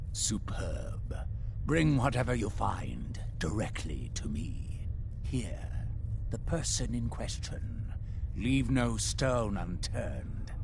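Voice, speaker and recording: Whispering at a very slow pace, a man puts on a character voice over loud background noise. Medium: game stream. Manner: smooth, condescending, manipulative.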